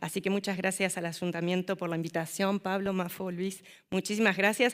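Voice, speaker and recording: With an Argentine accent, a woman speaks at a moderate pace on a very clean recording with a silent background. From Argentina. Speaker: city councillor and social worker. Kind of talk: conference presentation. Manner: hesitant fillers.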